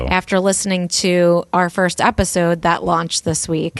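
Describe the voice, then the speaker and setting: The speaker has a New Jersey accent. The sound is dry and close, with no echo. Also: woman. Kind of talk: casual everyday.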